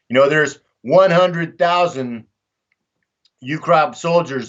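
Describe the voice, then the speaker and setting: A man speaks in a Texan accent with ordinary pitch variation. He keeps a fairly slow pace. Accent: Texan American English. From Texas, Dallas. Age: 60s. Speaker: war veteran and volunteer fighter. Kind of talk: casual interview talk. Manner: animated.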